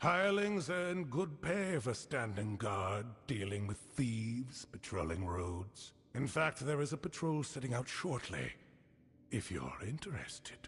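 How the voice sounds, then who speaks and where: A man puts on a character voice at a medium pitch. His pace is fairly slow, with very wide pitch swings. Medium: video game. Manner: stern, formal, measured.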